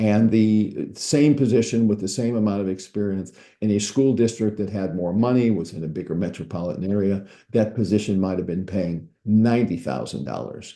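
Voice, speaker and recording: A man with an American accent talks at a fairly quick pace and a fairly low pitch in a dark, mellow tone. His pitch varies in an ordinary way, with a quiet background. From US Midwest, St. Louis, Missouri. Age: 80s+. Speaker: startup recruiter. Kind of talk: presentation. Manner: halting, many repetitions.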